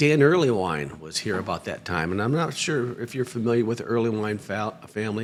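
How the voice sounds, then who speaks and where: An unremarkable speaking voice from a man with an American accent, lively intonation and a fairly quick pace. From northern Michigan, US. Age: 60s. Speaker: guitar maker and school founder. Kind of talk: casual interview chat.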